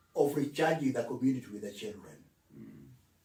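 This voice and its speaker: A man speaks with lively intonation and vocal fry. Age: 80s+. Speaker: retired civil servant, author. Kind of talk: interview answer.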